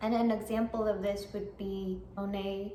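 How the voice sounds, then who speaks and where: A woman talks very slowly at a medium pitch with a non-native accent. Her intonation stays fairly even, and room echo can be heard. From immigrant, came as a small child. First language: not English. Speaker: artist and vlogger. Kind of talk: motivational vlog talk. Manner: halting, with fillers and restarts.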